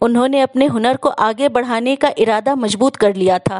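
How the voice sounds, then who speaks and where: A woman's high-pitched voice comes through with a dry, close sound and no echo. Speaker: storyteller. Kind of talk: inspirational story narration.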